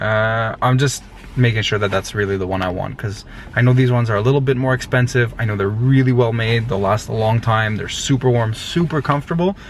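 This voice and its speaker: A man with a medium-pitched voice talks fairly quickly, his pitch varying in an ordinary way, while noticeable background noise is present. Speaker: vlogger, family restaurant owner. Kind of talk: casual vlog.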